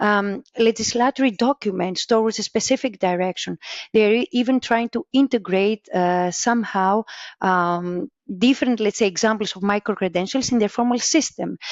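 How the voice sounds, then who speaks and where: Speaking at a moderate pace with a Greek accent, a woman with a fairly high pitch keeps very even loudness and ordinary pitch variation. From Greece. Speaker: vocational education researcher. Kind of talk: interview. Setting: podcast. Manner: halting.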